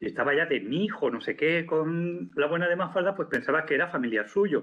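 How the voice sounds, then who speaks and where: A man with a Spanish accent speaks in a fairly high voice with vocal fry and lively intonation. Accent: Peninsular Spanish. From Spain. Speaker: professor. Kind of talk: lecture. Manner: halting.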